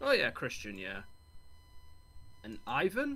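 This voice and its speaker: Fairly quick male speech in an English accent. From England. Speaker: friend of host. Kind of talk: casual chat.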